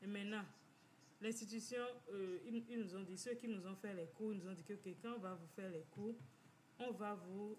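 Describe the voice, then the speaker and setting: With audible room echo and noticeable background noise, a woman speaks using ordinary pitch variation. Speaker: financial community organizer. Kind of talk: informal talk, personal testimony. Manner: halting, many repetitions.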